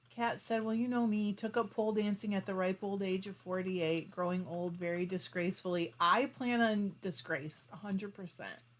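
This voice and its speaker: With an unremarkable speaking voice, a woman talks at a medium pitch and moderate pace, with ordinary pitch variation and hardly any pauses. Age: 40s. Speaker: fiber arts YouTuber. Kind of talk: livestream chat reading comments. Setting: live stream. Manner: casual, chatty.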